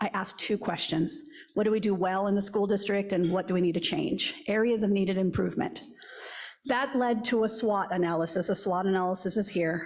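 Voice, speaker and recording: Speaking at a moderate pace, a woman uses a medium pitch, ordinary pitch variation and very even loudness. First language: Spanish. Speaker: school district superintendent. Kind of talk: speech to civic club.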